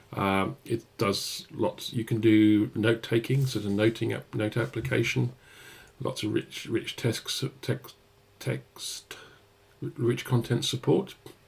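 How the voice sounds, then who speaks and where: A man with a British accent, medium pitch and vocal fry, very slow pace and lively intonation, in a very clean recording with a silent background. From UK. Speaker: software developer advocate. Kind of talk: live-stream coding tutorial. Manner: hesitant, many fillers.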